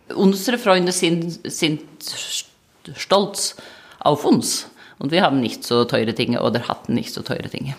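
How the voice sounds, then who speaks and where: A woman speaks at a moderate pace in a fairly low voice, her pitch swinging very widely, with long pauses coming often. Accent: Norwegian. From Norway. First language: Norwegian (speaking German). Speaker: manager. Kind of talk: interview. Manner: hesitant, with filler sounds.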